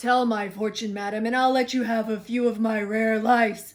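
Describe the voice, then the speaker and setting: In a put-on character voice with a fairly high pitch, the speaker keeps a monotone, flat intonation at a moderate pace. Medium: read story. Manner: gruff, brash.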